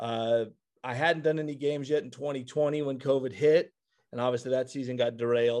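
At a fairly quick pace, a man talks in a plain, everyday voice with a fairly high pitch against a quiet background. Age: 30s. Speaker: high school athletic director and sports broadcaster. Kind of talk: casual chat.

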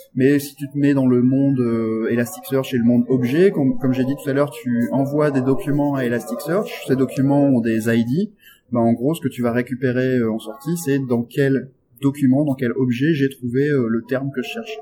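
At a fairly quick pace, a man with a plain, everyday voice talks at a medium pitch with ordinary pitch variation. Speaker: software developer and tech evangelist. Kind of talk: technical interview. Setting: backstage at a tech conference.

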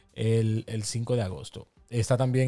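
A man's medium-pitched voice with fairly even intonation and music in the background. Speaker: podcast co-host. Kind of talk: casual chat.

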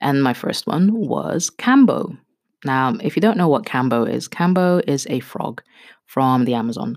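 A woman speaks with a very deep, low voice. Her tone is animated. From Kenya. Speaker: podcast host. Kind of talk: casual monologue. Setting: home bathroom, duvet fort. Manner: animated, laughing.

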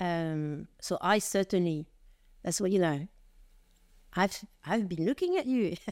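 With a French accent, a woman speaks at a medium pitch and a fairly slow pace, leaving long, frequent pauses in a very clean recording with a silent background. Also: ordinary pitch variation. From France. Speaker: retail executive. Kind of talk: interview.

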